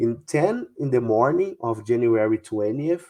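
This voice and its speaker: The speaker talks at a fairly slow pace with a Brazilian Portuguese accent and a dark, mellow tone. The background is quiet. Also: man. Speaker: UFO researcher. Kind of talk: interview. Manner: halting, many fillers.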